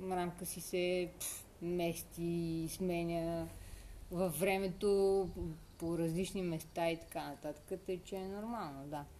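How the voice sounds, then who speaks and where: A woman's fairly low, dark, mellow voice at a very slow pace, with monotone, flat intonation. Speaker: podcast co-host. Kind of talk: casual chat.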